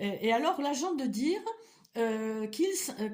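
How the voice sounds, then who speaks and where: Using an Eastern European accent, a woman with a high pitch talks at a moderate pace as her pitch swings very widely. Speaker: vlogger. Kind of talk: personal vlog monologue. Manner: halting, many hesitations and repetitions.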